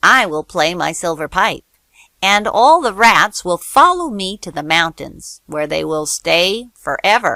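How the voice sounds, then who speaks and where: Putting on a character voice, a woman speaks at a fairly slow pace with a medium pitch. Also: very clean recording, silent background. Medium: read story.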